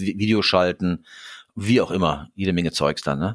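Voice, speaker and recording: Very clean recording, silent background. A man with a very deep, low pitch speaks at a fairly slow pace with fairly even intonation. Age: 60s. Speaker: consulting firm co-founder and management coach. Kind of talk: casual interview. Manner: halting, many repetitions.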